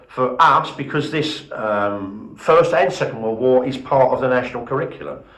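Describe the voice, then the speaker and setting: A man speaks at medium pitch and a moderate pace, with ordinary pitch variation. There is audible room echo and noticeable background noise. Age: 60s. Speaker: museum volunteer leader. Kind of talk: interview. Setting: heritage centre open day.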